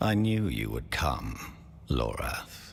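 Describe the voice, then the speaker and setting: A man's put-on character voice, very deep and low, with very wide pitch swings over clear background noise. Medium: video game. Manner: arrogant, condescending.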